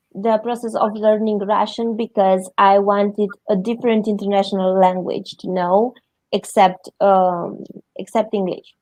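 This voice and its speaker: At a moderate pace, a woman with a Romanian accent talks in a flat monotone at a medium pitch. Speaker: interview guest. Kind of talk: interview. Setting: livestream.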